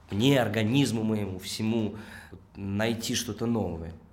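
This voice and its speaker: A man with a fairly low pitch speaks at a fairly slow pace, with audible room echo. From Russia, Tolyatti. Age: 20s. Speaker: actor and theatre director. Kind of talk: interview conversation.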